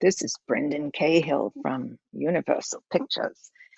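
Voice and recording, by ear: A put-on character voice, raspy and in a British accent, sits at middle pitch. It keeps a moderate pace.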